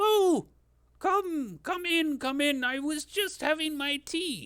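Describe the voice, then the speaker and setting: A man puts on a character voice, pitched extremely high and delivered at a fairly slow pace. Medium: actual play. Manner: friendly, rambling.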